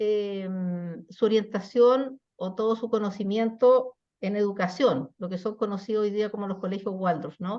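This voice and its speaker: A woman with a dark, mellow tone speaks at a fairly slow pace, with hardly any pauses. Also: medium pitch for a woman, ordinary pitch variation. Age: 60s. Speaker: psychologist hosting webinar talks. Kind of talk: webinar conversation. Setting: online webinar.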